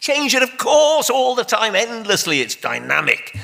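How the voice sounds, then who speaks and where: A man speaks with a Welsh accent. His pace is fairly quick. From Wales. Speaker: debate panelist. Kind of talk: public debate. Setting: stage with audience. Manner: animated.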